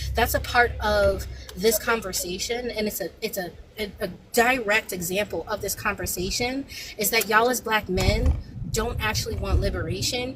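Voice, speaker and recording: A woman's moderately paced speech amid noticeable background noise. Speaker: panel speaker. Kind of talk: heated debate. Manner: animated.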